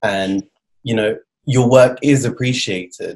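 This is a man with a British accent. He speaks at a medium pitch. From Britain. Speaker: podcast host. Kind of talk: interview.

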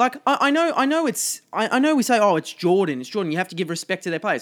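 Speaking with an Australian accent, a man uses a high pitch with very wide pitch swings. The recording is very clean, with a silent background. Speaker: football podcast co-host. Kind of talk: casual chat.

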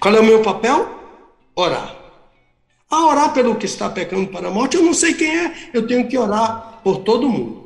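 An extremely high-pitched man talks with lively intonation at a moderate pace, leaving long, frequent pauses. Audible room echo surrounds his voice. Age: 70s. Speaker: pastor and theology professor. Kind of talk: radio Bible teaching.

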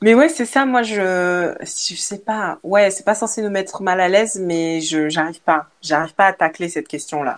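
Lively intonation at a fairly slow pace with hardly any pauses, in a very clean recording against a silent background. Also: woman, medium pitch for a woman. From Belgium. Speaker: content creator. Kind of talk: casual chat. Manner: halting.

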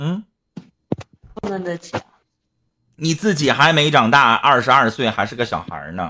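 A man speaks with a bright, sharp tone and vocal fry, his pitch swinging very widely. His loudness rises and falls sharply, broken by long, frequent pauses. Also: fairly high pitch for a man. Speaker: live-stream host. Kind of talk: casual live-stream advice talk. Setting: online live stream. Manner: blunt, talkative.

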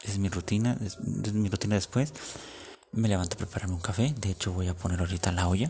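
Speaking at a very fast pace, a man with a fairly low pitch has a dark, mellow tone that is somewhat breathy. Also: ordinary pitch variation. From Mexico. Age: 20s. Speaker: podcaster. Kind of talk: casual monologue.

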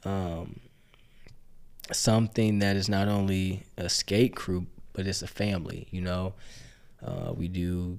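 A man speaks fairly slowly in a very deep, low voice with monotone, flat intonation. His speech has long, frequent pauses. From Gary, Indiana. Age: 20s. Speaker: guest. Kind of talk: casual chat.

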